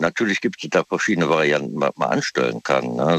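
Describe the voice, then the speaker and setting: A man's voice, dry and close, with no echo. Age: 60s. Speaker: caller. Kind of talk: casual chat. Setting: phone call.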